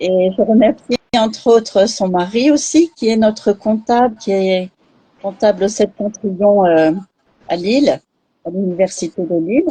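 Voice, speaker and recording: A dark, mellow, somewhat breathy voice speaks at a fairly slow pace with ordinary pitch variation. Long pauses come often. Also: woman, medium pitch for a woman. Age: 60s. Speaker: charity president. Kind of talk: live interview. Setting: online live stream.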